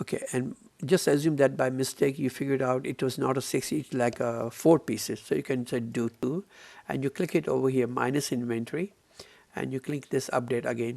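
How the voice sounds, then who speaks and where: A man talks at a fairly quick clip in a plain, everyday voice. His pitch sits in the medium range, with ordinary variation. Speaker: software trainer. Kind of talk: tutorial.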